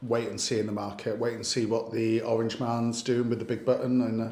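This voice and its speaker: Amid audible room echo, a man with a Welsh accent speaks at medium pitch and a moderate pace. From Wales. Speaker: lender sales host. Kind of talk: casual chat.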